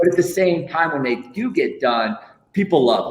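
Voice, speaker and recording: A man speaks at a very fast pace with an American accent, his tone animated and his intonation lively. Noticeable background noise runs underneath. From Iowa. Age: 40s. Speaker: lego artist. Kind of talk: casual interview.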